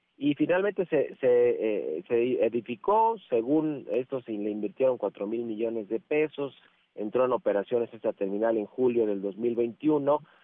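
With a plain, everyday voice, a man talks at a medium pitch with ordinary pitch variation. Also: fairly slow pace. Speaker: financial columnist. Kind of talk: interview commentary.

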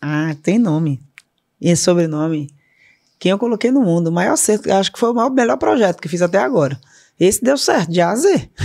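A woman with a northeastern Brazilian accent talks at a fairly quick pace in a fairly low pitch, her dark, mellow tone moving through very wide pitch swings. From Salvador, Bahia, Brazil. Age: 50s. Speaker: corporate board member and co-founder. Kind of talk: interview conversation.

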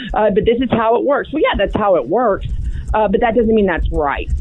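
A woman's fairly high voice shows ordinary pitch variation while noticeable background noise carries on around it. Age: young. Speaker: TV and radio political commentator. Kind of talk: casual interview.

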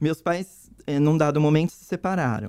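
A woman with a dark, mellow tone. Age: 50s. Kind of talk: interview, personal testimony.

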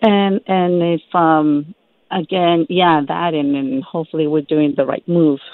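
A woman with an American accent and a normal speaking voice talks at a fairly slow pace, her fairly low pitch showing ordinary variation. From US Midwest. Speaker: caller. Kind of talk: call-in question. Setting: phone call.

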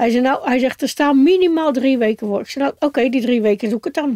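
In a dry, close recording with no echo, a woman with a high pitch and dark, mellow tone talks at a very fast pace with ordinary pitch variation. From Netherlands, Giessenburg (South Holland). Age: 60s. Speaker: recovering alcoholic. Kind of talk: interview testimony. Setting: in a caravan.

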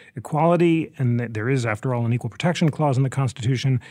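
In a plain, everyday voice, a man with an American accent shows ordinary pitch variation on a very clean recording with a silent background. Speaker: radio host. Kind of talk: moderated interview. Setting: studio.

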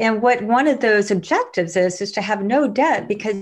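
A woman with an ordinary speaking voice talks at a fairly quick pace with ordinary pitch variation. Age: 40s. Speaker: money coach and investor. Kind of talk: podcast interview.

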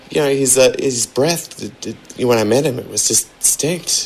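Noticeable background noise sits behind a man who speaks at a moderate pace with ordinary pitch variation. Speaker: radio station caller leaving voicemail. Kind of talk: voicemail message. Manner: brash, casual, insulting.

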